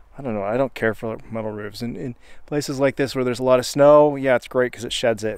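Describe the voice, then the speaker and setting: A man talks with ordinary pitch variation in a dry recording with no echo. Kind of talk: casual vlog chat. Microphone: phone near.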